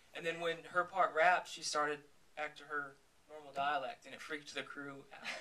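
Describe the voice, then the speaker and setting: A man with a fairly high pitch and an American accent, at a fairly quick pace, fairly even intonation, big swings in loudness and noticeable background noise. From Texas. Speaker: film director. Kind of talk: Q&A after film screening.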